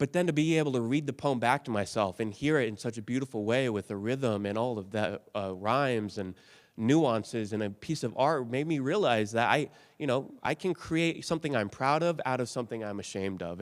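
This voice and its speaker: A man speaks with lively intonation. He has an ordinary speaking voice. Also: very clean recording, silent background. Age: 30s. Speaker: motivational speaker. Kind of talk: keynote speech. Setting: stage with audience.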